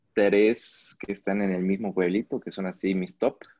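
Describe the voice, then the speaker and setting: The sound is dry and close, with no echo. It is a plain, everyday voice with fairly even intonation. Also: man. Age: 30s. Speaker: travel photographer and videographer. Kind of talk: interview.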